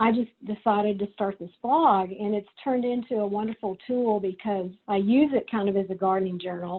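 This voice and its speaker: A medium-pitched woman with a Texas accent, at a moderate pace with ordinary pitch variation. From Texas, Corpus Christi. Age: 60s. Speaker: writer and photographer. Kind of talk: presentation. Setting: video call. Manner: casual, with many fillers.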